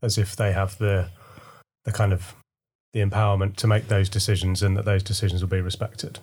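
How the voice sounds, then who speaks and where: A somewhat breathy voice with monotone, flat intonation and very even loudness, in a very clean recording with a silent background. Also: man. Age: 40s. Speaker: teacher. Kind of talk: casual chat.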